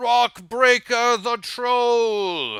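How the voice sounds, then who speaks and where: A man's put-on character voice, pitched extremely high, with fairly even intonation. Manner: bombastic, magically amplified.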